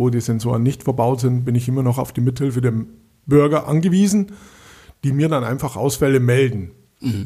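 A man's medium-pitched, somewhat breathy voice with a dark, mellow tone, recorded very cleanly against a silent background. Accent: strong Bavarian. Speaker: municipal street lighting engineer. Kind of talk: casual interview.

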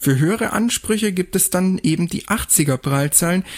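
A man with an unremarkable speaking voice talks at a moderate pace with lively intonation. The very clean recording has a silent background and a dry, close sound with no echo. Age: 20s. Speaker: podcast host, blind student. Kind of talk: explainer talk.

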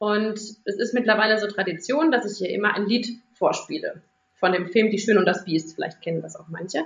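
The tone comes across bright and sharp. Pitch varies in an ordinary way at a moderate pace. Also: woman. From Rhineland-Palatinate, Germany. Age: 30s. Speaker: primary school teacher. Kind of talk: interview for a children's podcast.

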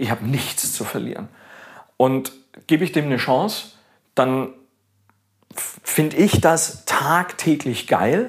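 A man with a fairly high pitch speaks very slowly and with lively intonation, leaving long, frequent pauses. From Augsburg, Bavarian Swabia, Germany. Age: 50s. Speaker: baker. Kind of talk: casual interview. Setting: home kitchen.

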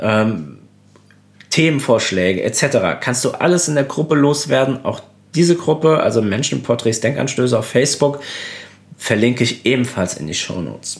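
A man with vocal fry and a medium pitch talks at a moderate pace with lively intonation. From Germany, Koblenz (Rhineland-Palatinate). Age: 30s. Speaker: portrait photographer, podcast host. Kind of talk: solo podcast monologue. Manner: casual, many filler sounds.

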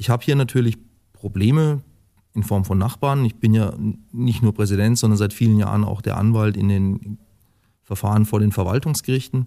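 A man talks at a moderate pace with a dark, mellow tone and fairly even intonation. He leaves long, frequent pauses. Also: fairly low pitch for a man. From Lower Franconia, Germany (Würzburg, Tauber valley). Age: 40s. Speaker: football club president. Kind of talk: podcast interview.

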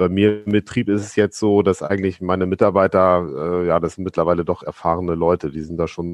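This man's pitch is very deep and low, and his intonation is monotone and flat. He speaks at a fairly quick pace. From Lower Saxony, Braunschweig area. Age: 40s. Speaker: farmer. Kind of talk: casual chat. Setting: video call.

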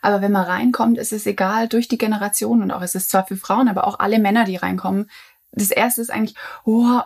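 A woman's voice, an unremarkable speaking voice, moves along at a fairly quick pace, pitched in the medium range and varying in pitch in an ordinary way. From near Stuttgart, Swabia, Germany. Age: 20s. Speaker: journalist and coworking space founder. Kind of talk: casual chat.

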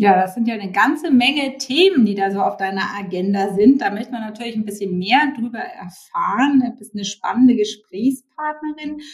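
With an ordinary speaking voice, a woman speaks at a moderate pace and fairly high pitch, using lively intonation, big swings in loudness and hardly any pauses. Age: 50s. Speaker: podcast host and founder. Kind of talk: podcast interview.

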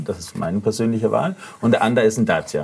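Through noticeable background noise comes a man's medium-pitched voice. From Denmark. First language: Danish (speaking German). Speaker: AI entrepreneur, mobility researcher. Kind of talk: casual chat.

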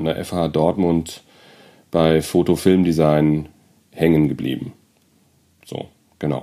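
A dark, mellow tone comes through at a fairly slow pace. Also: man. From Germany, Frankfurt am Main (Hesse). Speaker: photographer. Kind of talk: interview. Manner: hesitant, many fillers.

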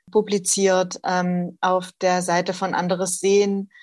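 Speaking in a monotone, flat intonation, a woman of medium pitch has a slight Saxon accent on a very clean recording with a silent background. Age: 40s. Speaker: social worker, association co-founder. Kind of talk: interview.

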